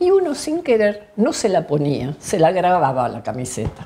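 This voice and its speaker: With light background noise, a woman's voice moves through very wide pitch swings. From Argentina, Bariloche (Patagonia); Argentina. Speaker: health statistician. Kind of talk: oral history interview. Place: home room.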